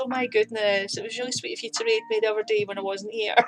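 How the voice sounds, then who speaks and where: A woman speaks with a Scottish accent at a fairly high pitch. Music plays in the background. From Scotland, near Glasgow. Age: 30s. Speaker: streamer and artist. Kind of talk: casual chat. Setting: live stream with chat.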